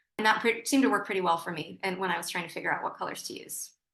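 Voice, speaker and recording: A woman's bright, sharp tone with ordinary pitch variation. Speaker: visiting artist, painter. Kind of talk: artist lecture. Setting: video call. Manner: fast; halting, many repetitions and fillers.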